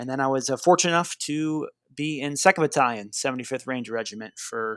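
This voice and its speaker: A man with an unremarkable speaking voice, medium in pitch with ordinary pitch variation, at a moderate pace, dry and close with no echo, in a very clean recording with a silent background. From Boston, Massachusetts. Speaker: army artillery officer. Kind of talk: interview conversation.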